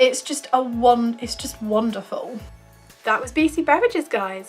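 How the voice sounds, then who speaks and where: Music plays in the background as a woman speaks with a British accent. Her pace is moderate and her pitch variation ordinary. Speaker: YouTube reviewer. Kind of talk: casual product review to camera.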